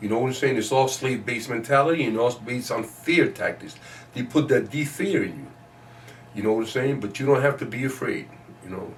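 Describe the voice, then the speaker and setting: A somewhat breathy man's voice at medium pitch, fairly quick in pace, with ordinary pitch variation. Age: 60s. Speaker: community elder and chess teacher. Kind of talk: interview. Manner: animated.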